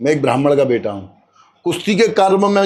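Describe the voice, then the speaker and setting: This man's intonation rises and falls in a lively way as he talks at an even, moderate speed. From Braj region, Uttar Pradesh, India. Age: 60s. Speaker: retired wrestler. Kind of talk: interview.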